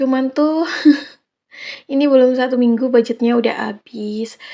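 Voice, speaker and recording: A woman's voice at a fairly quick pace. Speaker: housewife vlogger. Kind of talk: casual vlog narration. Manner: hesitant with fillers.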